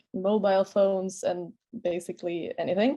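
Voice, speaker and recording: Against a quiet background, a woman with a Swedish accent speaks fairly slowly in a dark, mellow tone. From Sweden. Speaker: master's student on a panel. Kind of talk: webinar panel answer.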